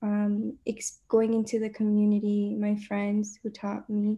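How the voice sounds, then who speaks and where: At a fairly slow pace over a quiet background, a woman speaks in a fairly high voice with a dark, mellow tone and some breathiness. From Georgia, US South; Puerto Rican family. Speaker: university student; panelist. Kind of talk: panel discussion. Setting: video call. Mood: reflective, personal. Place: home room. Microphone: video call.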